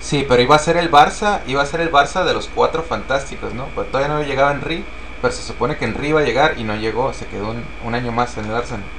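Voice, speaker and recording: A very fast pace amid noticeable background noise and audible room echo. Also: man, fairly high pitch for a man, ordinary pitch variation. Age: 30s. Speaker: football podcast co-host. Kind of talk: casual chat. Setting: live stream.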